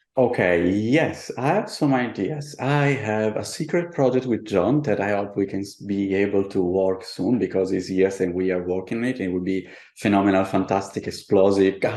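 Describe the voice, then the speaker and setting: A man with an Italian accent talks at a moderate pace in a fairly low pitch, using ordinary pitch variation and hardly any pauses. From Italy, childhood partly in Buenos Aires. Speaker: artist and tarot deck designer. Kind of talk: interview. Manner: halting.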